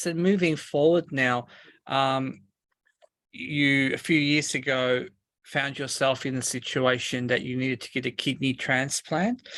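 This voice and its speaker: With an Australian accent, the speaker talks at a fairly slow pace in a very clean recording with a silent background. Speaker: interviewer, podcast host. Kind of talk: interview host.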